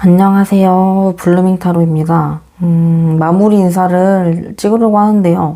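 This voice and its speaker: With hardly any pauses, a woman speaks at a fairly slow pace and medium pitch in a monotone, flat intonation. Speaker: tarot reader. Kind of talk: closing greeting to viewers; tarot reading to camera. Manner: slight stutter.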